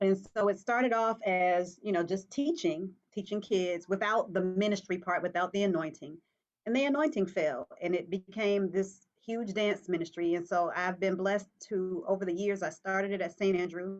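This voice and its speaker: With a medium pitch and ordinary pitch variation, a woman talks at a moderate pace in an unremarkable speaking voice. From Virginia. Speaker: dance minister and pastoral counselor. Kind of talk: talk show interview.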